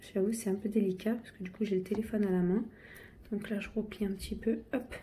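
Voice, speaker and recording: Somewhat breathy and dark, mellow in tone, a woman talks at a fairly quick pace at medium pitch, with audible room echo around her. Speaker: home cook. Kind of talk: tutorial. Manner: halting, many fillers.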